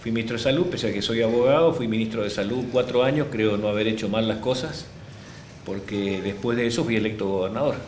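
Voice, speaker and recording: Amid audible room echo, a man of medium pitch speaks at a very fast pace. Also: ordinary pitch variation. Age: 60s. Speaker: politician. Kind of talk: interview. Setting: office.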